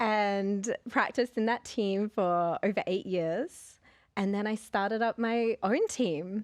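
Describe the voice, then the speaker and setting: A woman's fairly high voice in an Australian accent, very slow and very even in loudness, with ordinary pitch variation and a dry, close sound with no echo over a quiet background. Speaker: occupational therapist and consultant. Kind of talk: podcast interview.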